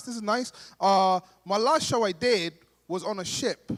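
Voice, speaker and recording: Pitched high, a man talks with a London accent. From Somalia, raised in London. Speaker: stand-up comedian. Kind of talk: stand-up. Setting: stage with audience at gala dinner.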